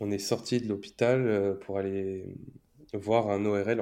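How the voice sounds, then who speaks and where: A man's fairly low, dark, mellow voice in monotone, flat intonation over a quiet background. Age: 20s. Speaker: stay-at-home father. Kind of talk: interview. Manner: halting.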